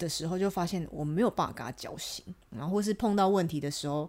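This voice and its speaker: In a very clean recording with a silent background, a woman speaks at a fairly quick pace. Her pitch is fairly low, and her tone is animated with lively intonation. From Taiwan. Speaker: podcast guest, international sales rep. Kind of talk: casual chat. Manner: animated, frequent laughter.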